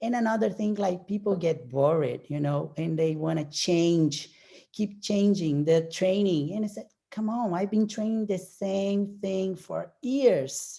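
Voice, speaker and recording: With a Portuguese accent, a woman speaks at a medium pitch and a fairly slow pace, her dark, mellow tone showing ordinary pitch variation. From Brazil. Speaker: professional bodybuilder. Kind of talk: casual interview chat.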